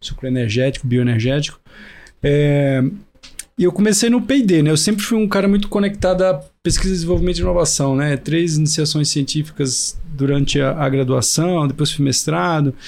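A man with an unremarkable speaking voice talks at a moderate pace, fairly high in pitch, with lively intonation and very even loudness. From Brazil, Recife (Pernambuco). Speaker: agtech innovation hub CEO. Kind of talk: podcast interview. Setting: in-person studio recording.

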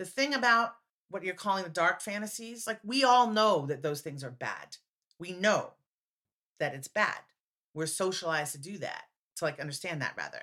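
A woman's bright, sharp voice in an American accent, medium in pitch and moderate in pace, with very wide pitch swings and big swings in loudness. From United States. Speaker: playwright and performer. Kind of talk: casual interview chat.

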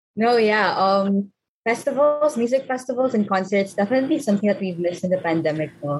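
With lively intonation, a woman speaks at a medium pitch in a somewhat breathy voice. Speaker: student podcast co-host. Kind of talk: casual chat.

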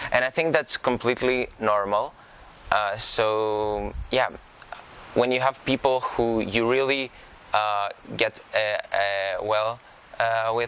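A man at medium pitch, very slow with long, frequent pauses, his loudness very even and his intonation fairly even, over noticeable background noise. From Greece, Karditsa. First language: Greek. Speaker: incoming university student. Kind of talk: interview. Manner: halting.

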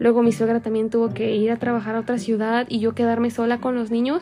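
A woman with a fairly high pitch speaks at a fairly quick pace, and noticeable background noise can be heard behind her. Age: 20s. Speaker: young mother sharing her experience. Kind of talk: personal testimony.

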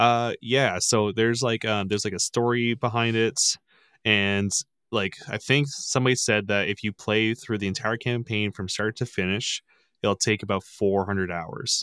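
With an ordinary speaking voice, a man talks at a moderate pace, a fairly low pitch and fairly even intonation, in a very clean recording with a silent background and a dry, close sound with no echo. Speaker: podcast guest and gamer. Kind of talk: casual chat. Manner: profane, laughing.

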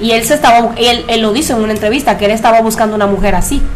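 Very fast speech from a fairly high-pitched woman, with fairly even intonation, audible room echo and noticeable background noise. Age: 30s. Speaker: podcast host. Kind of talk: casual chat.

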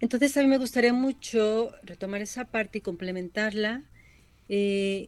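A woman speaks with a fairly high pitch and ordinary pitch variation. She has a plain, everyday voice. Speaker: psychologist. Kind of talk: radio interview.

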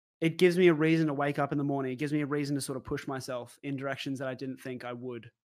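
A man with an Australian accent talks very fast, with hardly any pauses. His pitch is fairly high and his intonation fairly even. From Brisbane, Australia. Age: 20s. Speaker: streamer. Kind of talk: interview. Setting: video call.

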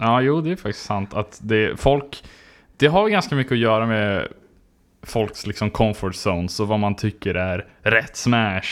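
Recorded very cleanly against a silent background, a man with an ordinary speaking voice talks slowly-ish at a fairly low pitch, with ordinary pitch variation and a fairly slow pace. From southern Sweden (Skåne). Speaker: podcast host. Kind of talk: casual chat.

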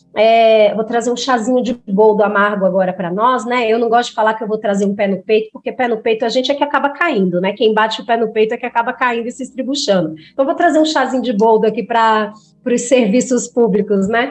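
A woman's unremarkable speaking voice at a fairly high pitch, with ordinary pitch variation and a fairly quick pace. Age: 30s. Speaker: psychologist. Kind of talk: podcast interview.

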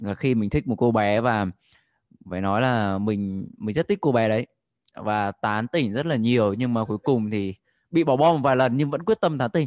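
A man with an unremarkable speaking voice at a moderate pace, ordinary pitch variation and a quiet background. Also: dry, close sound with no echo. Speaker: participant sharing a story. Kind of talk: casual storytelling.

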